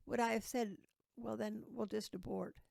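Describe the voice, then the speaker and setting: Recorded dry and close with no echo, a woman with an American accent and vocal fry speaks at a moderate pace. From Ohio, US Midwest. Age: 80s+. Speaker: terminally ill interviewee. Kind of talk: interview, life story. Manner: halting, repetitive.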